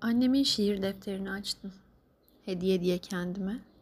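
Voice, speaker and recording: A somewhat breathy woman's voice at medium pitch and a fairly slow pace, in a very clean recording with a silent background. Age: 30s. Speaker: grieving daughter sharing a personal diary. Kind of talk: personal audio diary monologue. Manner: halting, emotional.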